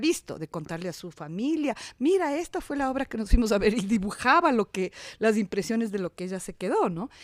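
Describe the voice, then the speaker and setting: Pitch swings very widely at a fairly quick pace, with a dry, close sound with no echo on a very clean recording with a silent background. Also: woman. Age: 60s. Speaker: actress and theatre director. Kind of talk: interview conversation. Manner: halting, with many repetitions.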